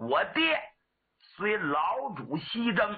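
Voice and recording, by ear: A man puts on a character voice at a high pitch, with a slightly husky edge. He moves through big pitch swings at a very slow pace.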